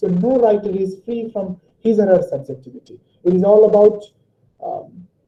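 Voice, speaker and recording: This man speaks at a high pitch. His pitch variation is ordinary. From Nepal. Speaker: lecturer. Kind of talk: lecture. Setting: online webinar.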